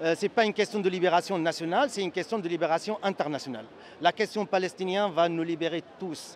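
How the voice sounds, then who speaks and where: Here a man talks at a very fast pace with a slight Syrian accent. His pitch is high, with ordinary pitch variation. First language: Arabic (speaking French). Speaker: activist and social psychology lecturer. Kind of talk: interview. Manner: halting, many hesitations.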